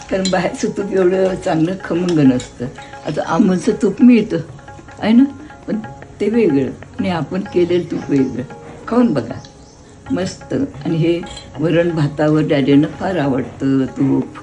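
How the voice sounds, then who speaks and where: Pitch swings very widely over music playing in the background. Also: woman, fairly low pitch for a woman. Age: 80s+. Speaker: home cook. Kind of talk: cooking explanation to camera.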